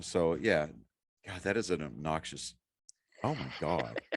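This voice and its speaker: Vocal fry colors this man's speech. His intonation stays lively. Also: quiet background. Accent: Boston. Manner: casual, profane.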